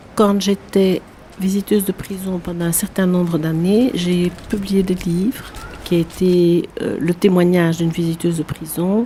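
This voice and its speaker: Over noticeable background noise, a woman with a Belgian accent talks at a moderate pace, at medium pitch, with fairly even intonation. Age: 70s. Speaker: prison visitor and association president. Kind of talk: testimony.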